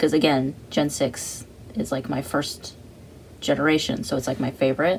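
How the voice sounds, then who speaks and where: Speaking at a moderate pace, a man with a plain, everyday voice has a fairly high pitch and ordinary pitch variation. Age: 20s. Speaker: artist vlogger. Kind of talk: casual chat while drawing. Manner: casual, rambling slangy speech.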